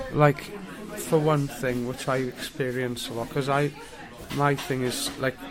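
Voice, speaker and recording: A man with a South Welsh accent at medium pitch, fairly slow and fairly even, with long, frequent pauses, audible room echo and crowd noise in the background. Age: 40s. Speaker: homeless man. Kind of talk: interview. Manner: halting.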